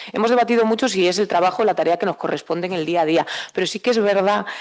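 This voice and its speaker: Against a quiet background, a woman speaks at a medium pitch with ordinary pitch variation. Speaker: president of a regional anti-poverty network. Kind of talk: conference panel talk. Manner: fast; hesitant, many fillers.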